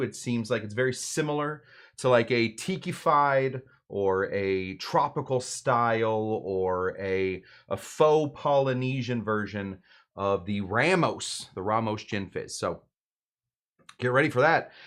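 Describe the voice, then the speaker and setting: Against a quiet background, a man with a normal speaking voice talks at medium pitch with ordinary pitch variation. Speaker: bartender, cocktail show host; voice actor. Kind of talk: casual live stream talk. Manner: relaxed, chatty.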